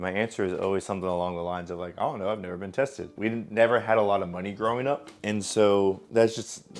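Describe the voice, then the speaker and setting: This man talks very fast with an American accent. His pitch sits fairly low and his intonation stays fairly even. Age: 20s. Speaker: streamer. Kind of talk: casual vlog monologue. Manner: casual, with many filler ums.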